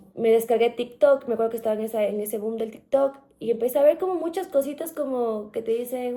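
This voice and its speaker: This woman talks at a very fast pace in a high voice with ordinary pitch variation. Background noise is noticeable. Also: hardly any pauses. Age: 30s. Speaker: journalist, podcast guest. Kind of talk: interview, personal testimony. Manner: hesitant, many fillers and restarts.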